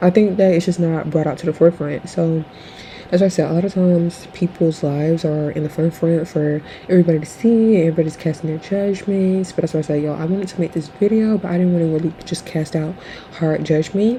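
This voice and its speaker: Over noticeable background noise, a woman with a fairly low pitch speaks very fast, her intonation fairly even. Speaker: commentary vlogger. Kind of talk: casual opinion commentary. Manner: halting, many fillers.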